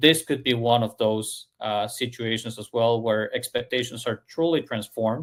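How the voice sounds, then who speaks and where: A man with a non-native accent speaks at a moderate pace in a medium pitch, with hardly any pauses. His intonation is fairly even, and the sound is dry and close with no echo. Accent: foreign. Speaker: service industry analyst. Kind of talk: podcast discussion. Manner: halting, many fillers.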